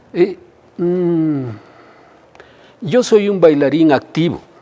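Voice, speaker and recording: Noticeable background noise sits behind a man's voice. He has a fairly high pitch and lively intonation. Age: 60s. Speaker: dancer and choreographer. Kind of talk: interview. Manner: halting.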